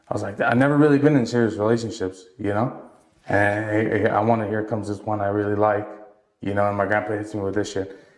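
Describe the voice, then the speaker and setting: Audible room echo follows a man talking at a very fast pace with a fairly low pitch. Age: 20s. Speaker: entrepreneur. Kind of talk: casual chat. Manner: animated.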